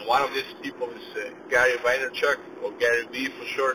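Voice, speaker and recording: A man's voice, at a moderate pace, competes with noticeable background noise. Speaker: podcast host and small business owner. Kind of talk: casual solo monologue. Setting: in a car, driving. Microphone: car Bluetooth system, poor sound quality.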